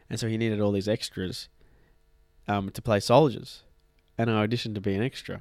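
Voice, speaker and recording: With an Australian accent, a man speaks at a fairly low pitch in a monotone, flat intonation. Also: long, frequent pauses. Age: young adult, millennial. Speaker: podcast co-host.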